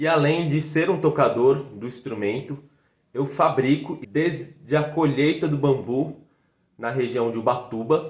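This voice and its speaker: Speaking in a São Paulo accent, a man has a fairly high pitch and ordinary pitch variation. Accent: Brazilian Portuguese, São Paulo (paulistano). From Brazil, São Paulo city. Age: 20s. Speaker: fife player and teacher. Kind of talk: video lesson.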